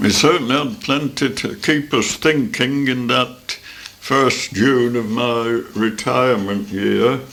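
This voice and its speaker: A man talks at a very slow pace with hardly any pauses. His pitch is medium with ordinary variation. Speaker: grandfather recounting his autobiography. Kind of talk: memoir recollection. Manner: casual, reminiscing, with hesitations.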